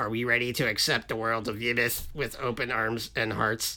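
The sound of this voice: Using a booming, put-on character voice at medium pitch, a man speaks at a moderate pace with monotone, flat intonation.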